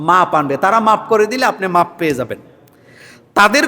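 Pitch rises and falls in a usual way. The tone is bright and sharp, and the voice is raised to carry. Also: man. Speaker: Islamic preacher. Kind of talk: religious Q&A sermon. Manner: rhetorical call-and-response questions.

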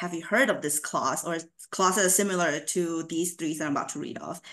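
Against a quiet background, a woman with a fairly low pitch speaks at a fairly quick pace and ordinary pitch variation. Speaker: university housing administrator. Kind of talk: conference presentation. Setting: video call. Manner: upbeat. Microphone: video call.

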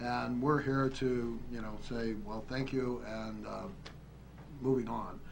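A man speaks at a very slow pace with long, frequent pauses. Light background noise runs underneath. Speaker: county commissioner. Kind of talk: public meeting discussion. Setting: council chamber. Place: hall. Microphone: podium.

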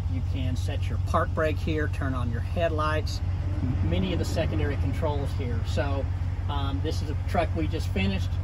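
A man talks at a moderate pace while loud background noise plays. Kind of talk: product demonstration. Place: car.

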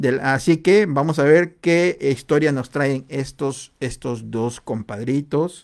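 A man at a very slow pace, with ordinary pitch variation and a quiet background. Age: 40s. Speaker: livestream host. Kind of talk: casual livestream chat. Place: home room. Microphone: studio mic.

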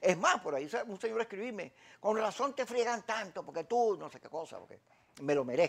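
A man talks at a fairly quick pace in a high voice. His pitch swings very widely. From Venezuela. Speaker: TV talk show host; interview guest. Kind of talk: political interview. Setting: TV studio. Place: studio. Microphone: lapel.

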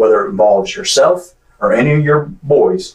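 The speaker has an American accent. Audible room echo comes through over a quiet background. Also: man. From Clay County, Florida; Florida. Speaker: police detective. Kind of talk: police interrogation. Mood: calm, persuasive. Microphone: camera far.

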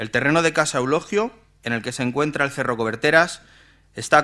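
Over a quiet background, a man talks at a very fast pace. His tone is bright and sharp, with ordinary pitch variation. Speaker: town councillor. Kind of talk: reading a formal motion. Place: hall. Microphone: podium.

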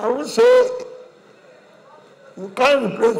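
With a Nigerian accent, the speaker moves at a fairly slow pace with lively intonation. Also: man. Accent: Nigerian (Yoruba) English. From Nigeria (Yoruba). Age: 80s+. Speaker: elder statesman, leader of a Yoruba group. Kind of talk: funeral tribute speech. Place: hall.

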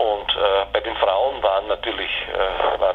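A man is speaking at a moderate pace. Noticeable background noise runs under his voice. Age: 60s. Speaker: philosophy professor. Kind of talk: interview. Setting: phone call. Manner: halting, many filler sounds.

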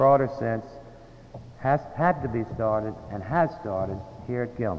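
A man talks fairly slowly with ordinary pitch variation, noticeable background noise behind him. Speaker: alumni association president. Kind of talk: formal fundraising speech.

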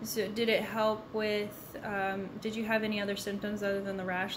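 At a moderate pace and medium pitch, a woman speaks in a monotone, flat intonation with hardly any pauses, while background noise is noticeable. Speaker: interviewer. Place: kitchen.

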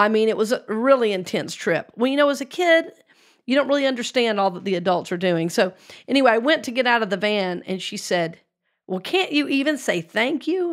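Over a quiet background, a woman with an American accent talks at a fairly quick pace in a fairly high pitch, making very wide pitch swings. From US South, Georgia. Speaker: spiritual talk show host, reverend. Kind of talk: casual chat. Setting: studio. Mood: reflective personal story. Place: studio. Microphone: studio mic.

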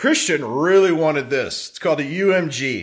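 A man talks at a fairly slow pace with a bright, sharp tone. The background is quiet. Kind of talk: casual unboxing vlog chat. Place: kitchen. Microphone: phone near.

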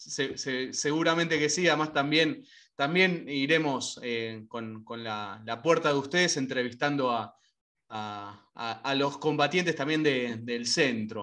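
A man with a Rioplatense accent speaks at a fairly slow pace and a fairly high pitch, his tone bright and sharp. His pitch varies in an ordinary way over a quiet background. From Argentina. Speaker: radio host. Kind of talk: interview. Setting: video call. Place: home room. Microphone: video call.

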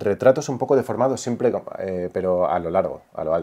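A man with a dark, mellow tone and lively intonation, against a quiet background. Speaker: son of a late painter and songwriter; interviewee. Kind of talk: casual interview conversation. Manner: halting. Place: home room. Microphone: lapel.

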